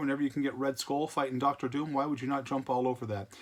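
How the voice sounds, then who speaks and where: Bright and sharp in tone, a man's voice sits at a fairly high pitch. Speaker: comic book collector youtuber. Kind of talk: casual video monologue showing comics. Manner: slurring words.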